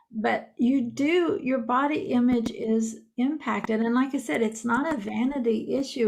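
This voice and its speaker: A woman speaks at a fairly high pitch, somewhat breathy. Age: 60s. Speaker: podcaster and author. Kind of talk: casual chat.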